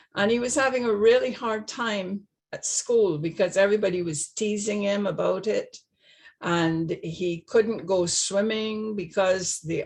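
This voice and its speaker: A woman speaks with a slight Barbadian accent. Her voice is somewhat breathy, with ordinary pitch variation. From Barbados. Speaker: retired nurse. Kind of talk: personal testimony. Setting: video call. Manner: halting.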